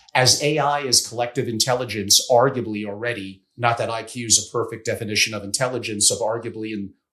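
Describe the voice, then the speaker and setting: With a normal speaking voice, a man talks at a fairly quick pace and medium pitch, his intonation fairly even. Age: 60s. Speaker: family office strategist. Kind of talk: podcast interview.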